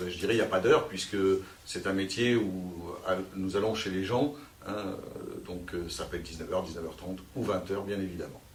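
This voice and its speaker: Amid noticeable background noise and audible room echo, a man with a fairly low pitch speaks with fairly even intonation and long, frequent pauses. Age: 40s. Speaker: sales manager. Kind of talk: career interview. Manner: hesitant, many fillers.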